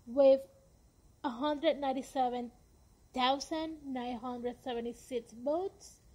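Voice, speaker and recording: At a fairly slow pace, a woman with a Spanish accent speaks in a high pitch, her tone dark and mellow and her pitch variation ordinary. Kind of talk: podcast monologue. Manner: slow reading numbers.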